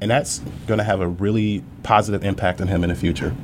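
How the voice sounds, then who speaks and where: A man at a very fast pace, fairly low in pitch with ordinary pitch variation, over noticeable background noise. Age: 30s. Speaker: business owner. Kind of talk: interview podcast.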